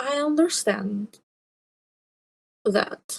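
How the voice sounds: This put-on character voice moves at a very slow pace, with vocal fry, a slightly husky edge and lively intonation. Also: woman, fairly high pitch for a woman.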